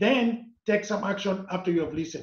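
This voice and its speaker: A man speaks at a high pitch with ordinary pitch variation. He has a non-native accent. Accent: foreign. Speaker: corporate trainer and author. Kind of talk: interview.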